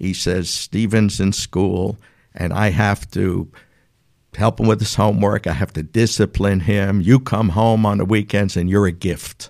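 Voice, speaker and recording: A man talks at a fairly slow pace with a strong New York accent and a fairly low pitch. The recording is very clean, with a silent background. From New York City. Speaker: business owner. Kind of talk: casual interview.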